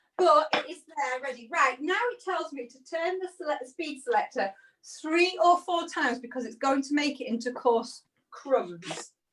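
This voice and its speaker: Raising and projecting her high voice, a woman speaks at a fairly slow pace with very wide pitch swings. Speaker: cooking demonstrator. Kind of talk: cooking demonstration. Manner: conversational, step-by-step.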